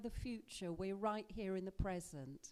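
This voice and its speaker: A soft-spoken voice with a dark, mellow tone. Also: woman. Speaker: college lecturer giving a workshop. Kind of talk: talk to a seniors group.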